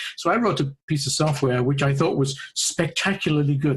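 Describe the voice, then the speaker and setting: Somewhat breathy and in a British accent, the speaker talks at a fairly quick pace. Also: man. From UK. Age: 50s. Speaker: AAC researcher and speech-language pathologist. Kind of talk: podcast interview.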